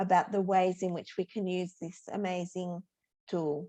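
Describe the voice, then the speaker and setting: A woman with an Australian accent talks at a moderate pace in a dark, mellow tone. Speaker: teacher educator. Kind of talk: workshop presentation.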